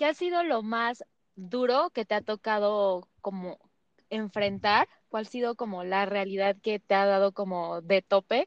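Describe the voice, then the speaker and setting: A woman's unremarkable speaking voice, medium in pitch, fairly slow, with ordinary pitch variation. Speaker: podcast host. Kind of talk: interview.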